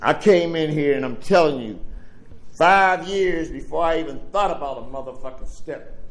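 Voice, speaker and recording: A man with an American accent talks at a moderate pace and a fairly high pitch. His pitch variation is ordinary, and there is audible room echo. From Pittsburgh, Pennsylvania (the Hill District). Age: 70s. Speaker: recovery speaker. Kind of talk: recovery share / speech. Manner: casual, streetwise.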